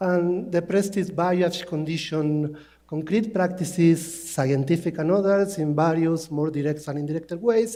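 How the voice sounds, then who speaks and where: With a non-native accent, a man talks at a fairly slow pace in a high pitch, using fairly even intonation and hardly any pauses, and audible room echo surrounds him. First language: not English. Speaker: linguist. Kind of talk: conference talk. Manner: halting.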